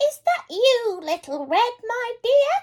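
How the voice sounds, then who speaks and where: A squeaky, put-on character voice moves at a fairly slow pace. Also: female-sounding voice, extremely high pitch for a woman. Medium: read story.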